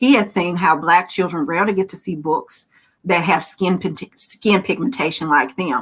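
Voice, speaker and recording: On a very clean recording with a silent background, a woman with a Southern US accent talks at a fairly quick pace in an animated tone. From Alabama. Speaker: children's author. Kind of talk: virtual panel talk. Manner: animated storytelling.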